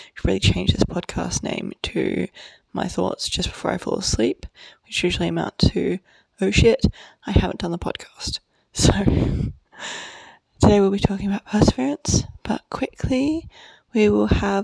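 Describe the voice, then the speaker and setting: A woman whispering at a fairly slow pace with long, frequent pauses, the sound dry and close with no echo. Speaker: podcast host. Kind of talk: casual monologue. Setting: at a friend's house. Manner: soft-spoken.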